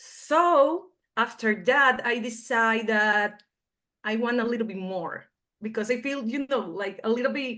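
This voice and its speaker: A woman's fairly high voice with a Spanish accent, a bright, sharp tone, ordinary pitch variation and a fairly slow pace over a quiet background. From Venezuela. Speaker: foreign-trained dentist. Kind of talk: interview.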